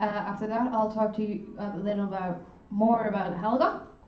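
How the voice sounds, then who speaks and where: A woman talks at a medium pitch and a moderate pace. Audible room echo and noticeable background noise surround her voice. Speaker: student union board member. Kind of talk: orientation presentation. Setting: lecture room, filmed and streamed.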